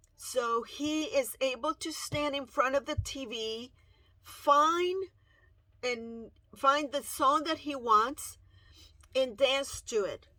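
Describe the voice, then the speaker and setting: A woman with a Spanish accent uses a raised, projected voice, high in pitch with a bright, sharp tone. She speaks at a very slow pace with long, frequent pauses, on a very clean recording with a silent background. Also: ordinary pitch variation. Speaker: parent video blogger. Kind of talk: personal testimony. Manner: halting.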